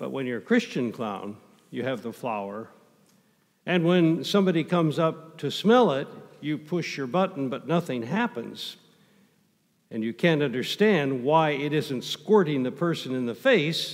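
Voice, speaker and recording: A man reads at a moderate pace, his intonation lively, with a quiet background behind him. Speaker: pastor. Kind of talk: sermon. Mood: light, amused. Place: church.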